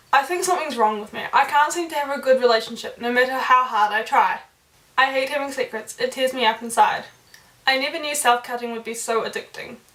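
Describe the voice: The voice has a fairly bright tone and ordinary pitch variation, moving at a fast pace with audible room echo. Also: woman.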